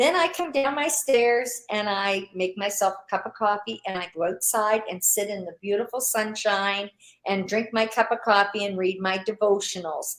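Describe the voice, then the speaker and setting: A normal speaking voice at a moderate pace, with ordinary pitch variation and hardly any pauses. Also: woman, medium pitch for a woman. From Canada. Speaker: online business owner. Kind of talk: interview.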